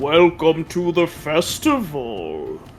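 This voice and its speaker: Clear music plays in the background behind a put-on character voice. The pitch sits in the middle. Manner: welcoming, grand.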